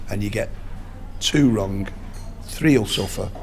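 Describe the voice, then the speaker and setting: A man with a medium pitch and lively intonation talks at a fairly slow pace. Music plays in the background, and room echo is audible. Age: 60s. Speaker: boxing strength and nutrition coach. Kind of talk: interview. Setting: outdoors at a rugby match.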